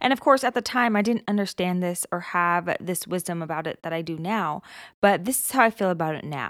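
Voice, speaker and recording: On a very clean recording with a silent background and dry, close sound with no echo, a woman at medium pitch speaks fairly quickly in an animated tone, with ordinary pitch variation and big swings in loudness. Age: 20s. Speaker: motivational podcast host. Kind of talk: motivational monologue.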